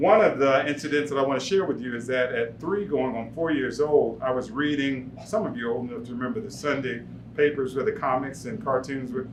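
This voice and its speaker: Room echo is audible around a man with a medium pitch. His intonation is lively, and background noise is noticeable. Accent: American. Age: 70s. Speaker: war veteran. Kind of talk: storytelling performance. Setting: stage with audience.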